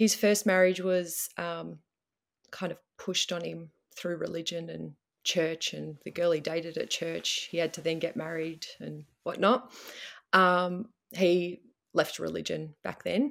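On a very clean recording with a silent background, a woman speaks at a fairly slow pace with big swings in loudness. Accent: Australian. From Melbourne, Australia. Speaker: guest dealing with husband leaving.

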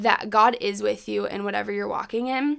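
The background is silent in a very clean recording. Speech moves at a moderate pace. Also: woman. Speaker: podcast co-host and college student. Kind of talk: casual chat.

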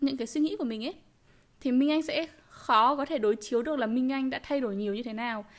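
A woman talks at a fairly quick pace with lively intonation. Her pitch is high. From Vietnam. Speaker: podcast co-host. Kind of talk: casual chat.

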